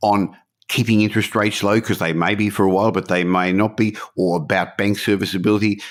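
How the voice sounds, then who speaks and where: A man speaks at a fairly low pitch. The recording is very clean with a silent background. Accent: Australian. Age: 60s. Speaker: podcast host, property investor. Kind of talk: podcast interview.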